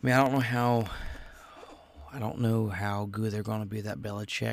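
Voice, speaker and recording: This man has a fairly low pitch and an American accent, talking at a moderate pace with fairly even intonation. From Ohio. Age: 20s. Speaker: podcast host. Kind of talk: casual solo chat. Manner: rambling, filler-heavy.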